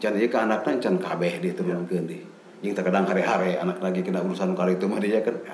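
Very deep and low, the man's voice races along at a very fast pace with fairly even intonation and very even loudness, amid noticeable background noise and audible room echo. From West Java, Cianjur. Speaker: lecturer and traditional singer. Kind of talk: interview.

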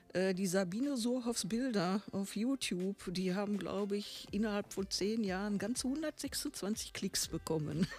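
A woman at a fairly slow pace with hardly any pauses, medium in pitch and somewhat breathy, with ordinary pitch variation and very even loudness. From Bochum, Ruhr area, Germany. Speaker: painter, artist.

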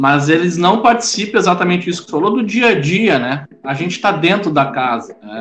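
With music in the background, a man with a high pitch speaks at a moderate pace, making very wide pitch swings. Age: 40s. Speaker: Afro-Brazilian religious leader. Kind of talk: interview.

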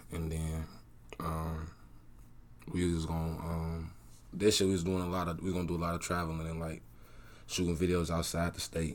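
With audible room echo, a man speaks at a moderate pace in a very deep, low pitch, his monotone, flat delivery broken by long, frequent pauses. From US Midwest, south side of Chicago. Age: 20s. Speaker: rapper. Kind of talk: interview.

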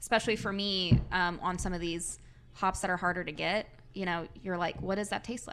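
Vocal fry runs through speech that moves at a fairly quick pace with monotone, flat intonation. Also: woman, medium pitch for a woman. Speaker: brewery sales rep. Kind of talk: casual chat. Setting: studio.

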